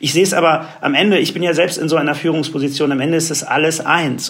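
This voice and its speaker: A fairly high-pitched man's voice over noticeable background noise. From Germany. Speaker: advertising agency executive. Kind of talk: interview.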